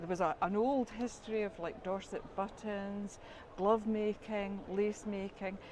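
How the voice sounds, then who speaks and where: Speaking in a Scottish accent, a woman of medium pitch talks at a fairly slow pace with monotone, flat intonation. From Scotland. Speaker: quilting course graduate. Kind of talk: interview.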